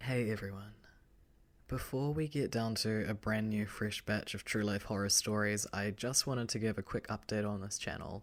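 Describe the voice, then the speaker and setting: A moderate pace with a New Zealand accent, on a very clean recording with a silent background. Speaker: horror story narrator. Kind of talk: casual chat.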